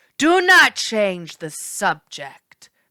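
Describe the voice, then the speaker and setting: A female-sounding voice growls in a put-on character voice. The pitch sits at a medium level for a woman. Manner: growling.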